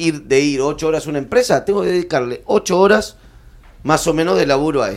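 A man with a plain, everyday voice, a fairly high pitch and a fairly quick pace. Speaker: stand-up comedian. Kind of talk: panel discussion. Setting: stage with live audience.

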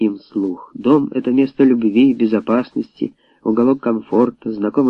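This is an unforced reading voice. The words come out plainly as read.

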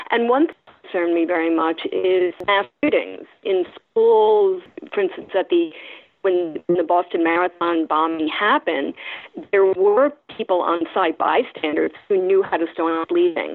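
A woman's ordinary speaking voice, fairly low in pitch, at a fairly slow pace with ordinary pitch variation. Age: 60s. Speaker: journalism teacher and former foreign correspondent. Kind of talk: interview.

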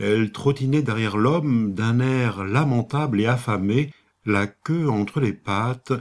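An unforced reading voice is heard throughout.

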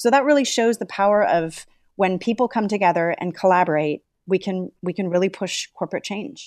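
A woman with a normal speaking voice talks fairly quickly at a medium pitch, with ordinary pitch variation, in a dry, close sound with no echo and a quiet background. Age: 40s. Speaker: environmental nonprofit co-founder. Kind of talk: interview conversation.

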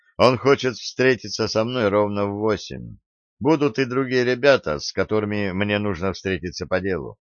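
Using an unforced reading voice with ordinary pitch variation, the speaker is recorded against a quiet background.

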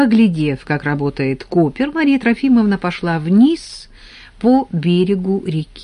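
A natural voice reading aloud

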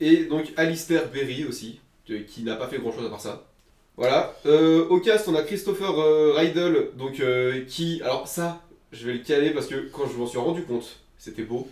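Speech at a moderate pace, with a slightly mellow tone and ordinary pitch variation. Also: man, fairly high pitch for a man.

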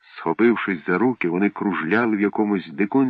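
An unforced reading voice comes through. The pitch moves up and down in an ordinary way.

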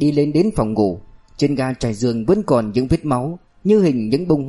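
An unforced reading voice. The intonation is lively.

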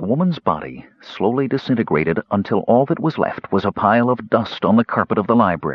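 The intonation rises and falls in a lively way. The passage is read aloud in a natural voice.

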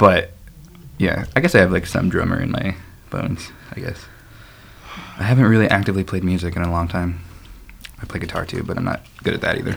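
A man's very deep, low voice with an American accent and ordinary pitch variation, very fast yet with long, frequent pauses, amid noticeable background noise. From Chicago. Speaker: podcast host on dating. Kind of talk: casual chat.

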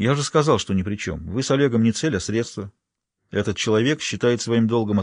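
Ordinary pitch variation marks this reading aloud in a natural voice. Behind it, all is quiet.

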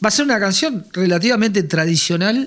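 The intonation here is lively. A man speaks, keeping a moderate pace.

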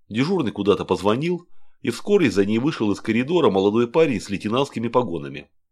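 The speaker reads aloud naturally, and the intonation stays lively.

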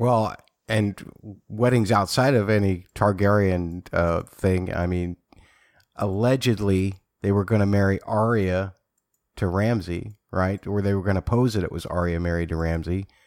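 Recorded very cleanly against a silent background, a man with an ordinary speaking voice talks at a fairly low pitch and a fairly slow pace. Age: 40s. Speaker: podcast host. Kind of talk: casual chat.

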